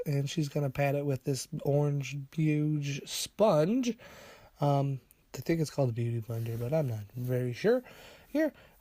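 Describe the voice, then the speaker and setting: On a very clean recording with a silent background, a man with a fairly high pitch talks fairly slowly in a somewhat breathy voice. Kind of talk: casual humorous voiceover commentary on a makeup video. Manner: playful, unsure, joking.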